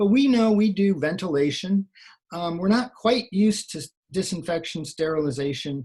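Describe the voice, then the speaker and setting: Lively intonation marks a man's unremarkable speaking voice, delivered at a moderate pace. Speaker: occupational hygienist presenter. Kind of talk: webinar presentation. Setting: online webinar.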